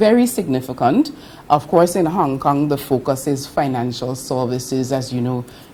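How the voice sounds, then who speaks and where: Moderate-paced speech from a woman amid noticeable background noise. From British Virgin Islands (Virgin Gorda). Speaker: government official overseas. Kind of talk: interview.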